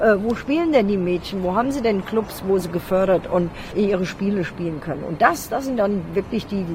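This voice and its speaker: Lively in intonation, a woman's medium-pitched voice moves at a moderate pace over noticeable background noise. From Hesse, Germany. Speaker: football coach. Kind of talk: interview.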